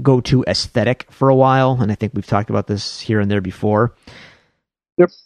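A man with a Buffalo accent speaks at a medium pitch and a moderate pace, with ordinary pitch variation. The sound is dry and close, with no echo. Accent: Buffalo, western New York. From Buffalo, New York. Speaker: podcast host. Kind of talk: casual chat.

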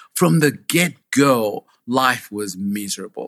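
A man talks with a Ugandan accent. The sound is dry and close with no echo, over a quiet background. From Uganda (Kabale, southwest). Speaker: foster parent. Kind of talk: interview, personal life story.

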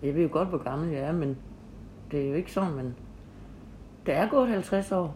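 Very deep, low female voice with a dark, mellow tone, ordinary pitch variation, vocal fry and long, frequent pauses. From Denmark, Horsens (East Jutland). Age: 50s. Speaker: local history podcast host. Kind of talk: interview, casual chat. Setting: home visit interview.

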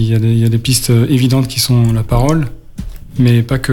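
Speaking at a fairly quick pace, a man has a medium pitch. Audible room echo and noticeable background noise surround him. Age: 40s. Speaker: radio co-host living with Parkinson's. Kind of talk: radio talk show. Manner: halting.

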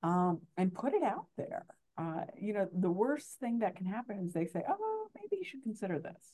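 This voice has a dark, mellow tone. Its intonation is lively and its pace moderate. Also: woman, medium pitch for a woman. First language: Spanish. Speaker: university administrator and journal editor. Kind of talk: panel discussion. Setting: remote recording.

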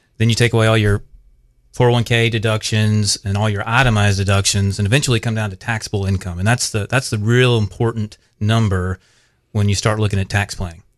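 Talking at a fairly quick pace, a man with a South Carolina accent keeps a fairly low pitch and a monotone, flat intonation. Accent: Southern US (South Carolina). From US South, upstate South Carolina. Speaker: financial planner. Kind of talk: radio interview. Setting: studio.

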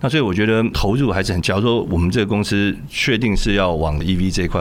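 Both audible room echo and noticeable background noise come through in this clip. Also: man. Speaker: tech company co-founder. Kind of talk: interview.

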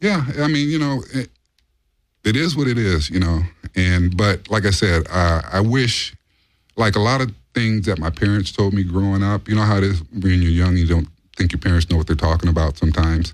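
A plain, everyday voice with an American accent, lively intonation, very even loudness and a fairly quick pace. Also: man, fairly low pitch for a man. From Los Angeles, US. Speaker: bodyguard. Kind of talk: casual chat. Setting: studio. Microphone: too quiet, needs to be closer to mic.

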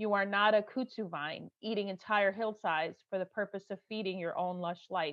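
A woman's medium-pitched voice comes at a moderate pace. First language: Arabic. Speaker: host. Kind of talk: casual conversational interview.

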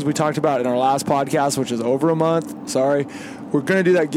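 A man's voice with fairly even intonation, over noticeable background noise. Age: 40s. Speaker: podcast host, competitive rifle shooter. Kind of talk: casual chat. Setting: in a vehicle on the road.

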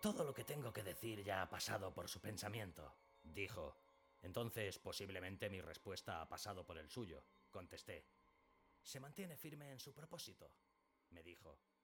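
A man with a fairly low voice and a serious, dramatic tone speaks at a moderate pace, his pitch swinging very widely. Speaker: audiobook narrator. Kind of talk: dramatic narration of a Sherlock Holmes story, reading aloud with character dialogue. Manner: serious, measured, dramatic.

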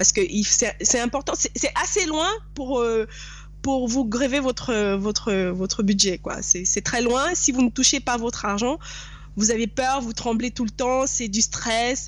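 Her voice high, a woman speaks at a very slow pace. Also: ordinary pitch variation. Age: 30s. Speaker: real estate investor. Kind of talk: interview.

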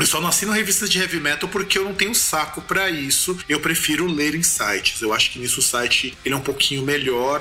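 Over music in the background, a man with a fairly high pitch talks at a fairly quick pace with ordinary pitch variation. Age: 30s. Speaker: podcast host. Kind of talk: casual interview chat.

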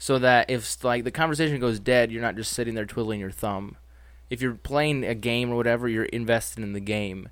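The delivery is fairly quick. Overall, it is an ordinary speaking voice. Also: man, medium pitch for a man, fairly even intonation. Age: 20s. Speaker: collector and guest. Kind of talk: casual chat.

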